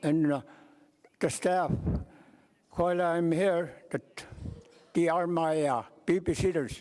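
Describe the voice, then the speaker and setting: In an Alaskan accent, the voice moves at a very slow pace with ordinary pitch variation and a dark, mellow tone. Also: man. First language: Yupik. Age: 80s+. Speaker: elder delegate. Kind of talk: meeting remarks. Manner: halting.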